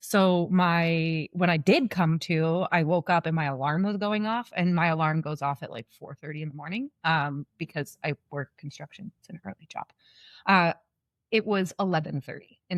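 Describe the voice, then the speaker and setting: Recorded very clean against a silent background, with a dry, close sound and no echo, a woman with an unremarkable speaking voice talks at a moderate pace in a fairly low pitch, her intonation lively and her loudness swinging widely. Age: 30s. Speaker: construction welder sharing illness story. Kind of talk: podcast interview, personal story. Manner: casual, conversational.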